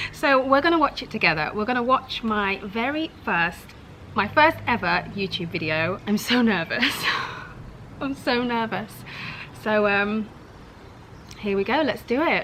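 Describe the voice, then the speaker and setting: A woman with a southern English accent and a fairly high voice speaks fairly slowly with lively intonation and long, frequent pauses, over noticeable background noise. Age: 30s. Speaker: YouTuber. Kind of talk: casual reaction vlog. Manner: animated.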